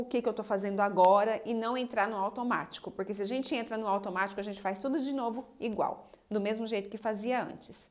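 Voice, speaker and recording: Fairly high pitch and ordinary pitch variation in a woman's plain, everyday voice. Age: 30s. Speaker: psychoanalyst and relationship coach. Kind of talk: live stream talk answering viewer comments. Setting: Instagram live video.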